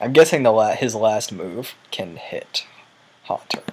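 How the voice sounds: A hoarse put-on character voice moves at a fairly slow pace, with lively intonation and big swings in loudness. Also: man, medium pitch for a man.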